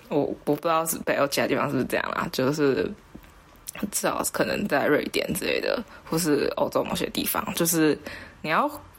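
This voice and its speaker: The pace is moderate. Long pauses come often. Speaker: podcast co-host. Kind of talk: casual chat.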